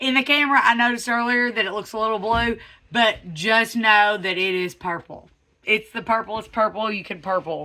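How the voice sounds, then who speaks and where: A bright, sharp tone with a Southern US accent, ordinary pitch variation and a moderate pace. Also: woman. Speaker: truck customizer YouTuber. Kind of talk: casual vlog. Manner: animated; stammering.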